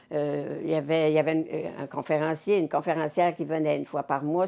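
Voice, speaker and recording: A woman in a Quebec accent, very deep and low in pitch, with a dark, mellow tone, vocal fry and a fairly quick pace. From Cap-Saint-Ignace, Quebec. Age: 80s+. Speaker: community volunteer. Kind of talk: interview answer.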